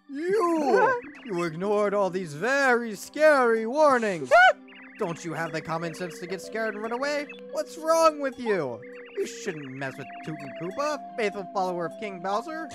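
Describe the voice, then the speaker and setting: Clear music plays behind a put-on character voice that is fairly high in pitch and swings very widely. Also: moderate pace. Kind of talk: comic overacting. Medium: virtual streamer. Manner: pompous, indignant, comically blustering.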